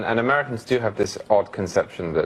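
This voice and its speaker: A man speaks at a very fast pace in a British accent. Noticeable background noise is present. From England.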